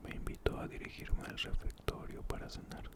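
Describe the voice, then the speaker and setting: A man whispers fairly slowly while noticeable background noise carries on. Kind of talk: ASMR book reading. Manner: whispered, soft-spoken.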